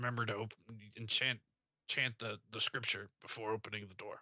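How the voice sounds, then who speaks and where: A man puts on a raspy character voice at a medium pitch. His delivery is monotone and flat at a fairly quick pace. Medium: actual play.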